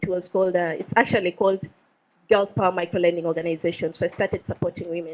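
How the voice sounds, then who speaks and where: A woman with a Ugandan accent, at a medium pitch. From Uganda, West Nile. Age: 20s. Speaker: social entrepreneur. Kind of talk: talk to an audience. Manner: hesitant, many fillers.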